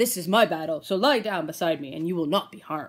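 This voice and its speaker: A female-sounding put-on character voice at middle pitch and a very fast pace. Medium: read story.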